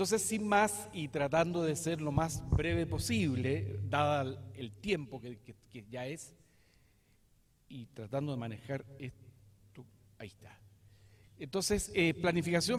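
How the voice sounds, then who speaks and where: A man with a southern Chilean accent speaks very slowly and somewhat breathily. His fairly high pitch moves in very wide swings. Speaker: lawyer and professor. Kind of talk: lecture. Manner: hesitant, many fillers.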